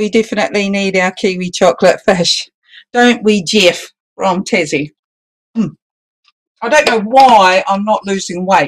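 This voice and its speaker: Pausing long and often, a woman speaks at a fairly slow pace with a medium pitch and ordinary pitch variation. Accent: New Zealand. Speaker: balloon artist instructor. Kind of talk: online class.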